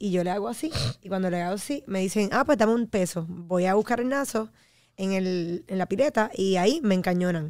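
Against a quiet background, a woman speaks at a fairly quick pace with a dry sound that has no echo. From Puerto Rico, Trujillo Alto; Puerto Rico. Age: 30s. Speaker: fitness enthusiast and media personality; podcast guest. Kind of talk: casual chat. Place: studio. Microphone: studio mic.

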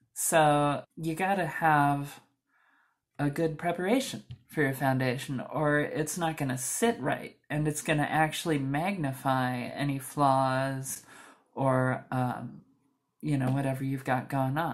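A soft-spoken woman with a very deep, low pitch and ordinary pitch variation talks against a quiet background. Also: fairly slow pace. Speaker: beauty vlogger; makeup tutorial host. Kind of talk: tutorial. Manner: slow. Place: home room. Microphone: camera far.

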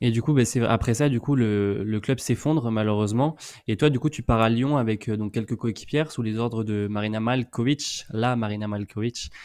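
Moderate-paced speech from a man, ordinary in its pitch variation, over a quiet background. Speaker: co-host. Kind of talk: casual chat. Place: home room. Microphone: studio mic.

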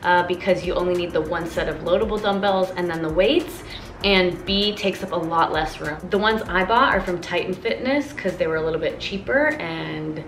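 A woman speaks with audible room echo and faint music in the background. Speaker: fitness vlogger. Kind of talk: casual vlog chat. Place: garage. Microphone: phone near.

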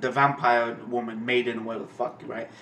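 There is audible room echo and light background noise as a man talks at a fairly quick pace. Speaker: anime reaction channel host. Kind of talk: casual vlog chat, ranting. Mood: annoyed, ranting about a comment. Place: home room.

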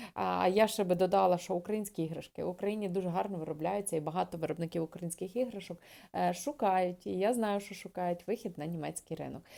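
On a very clean recording with a silent background, a woman speaks at a very fast pace. Her dark, mellow tone sits at a fairly low pitch with ordinary pitch variation. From western Ukraine, Lviv region. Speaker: trade educator and video blogger. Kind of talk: educational video talk. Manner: hesitant with filler sounds.

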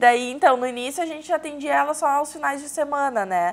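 A woman is speaking. Her pitch swings very widely. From São Leopoldo, Rio Grande do Sul, southern Brazil; Rio Grande do Sul, Brazil. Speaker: business consultant; talk show guest. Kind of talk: TV interview. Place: studio. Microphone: lapel.

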